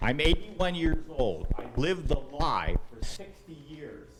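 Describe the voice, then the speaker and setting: With an American accent, a man speaks with lively intonation. Music plays in the background amid audible room echo. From USA. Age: 80s+. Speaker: audience member at town hall. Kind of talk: town hall question. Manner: impassioned.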